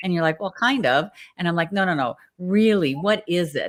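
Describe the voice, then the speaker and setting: Fairly low in pitch with ordinary pitch variation, a woman talks in an unremarkable speaking voice. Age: 60s. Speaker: talk show host. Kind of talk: interview.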